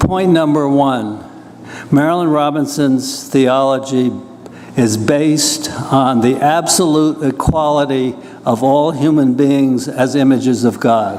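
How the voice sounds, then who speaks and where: A man's fairly high voice at a fairly slow pace, very even in loudness, with audible room echo and noticeable background noise. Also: fairly even intonation. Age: 80s+. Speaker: professor and poet. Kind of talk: lecture. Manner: conversational, slightly halting.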